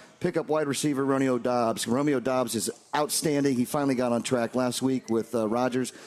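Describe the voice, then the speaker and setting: This man has a plain, everyday voice at medium pitch, moving at a fairly quick pace with hardly any pauses, fairly even intonation and very even loudness. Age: 40s. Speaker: sports radio co-host. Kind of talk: casual sports chat.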